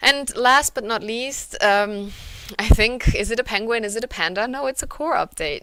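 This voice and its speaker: A woman with a German accent speaks at a moderate pace in a bright, sharp tone. Her pitch varies in an ordinary way, and the recording is very clean with a silent background. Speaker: conference speaker, localization company representative. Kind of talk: conference presentation. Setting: virtual conference. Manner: hesitant, many fillers.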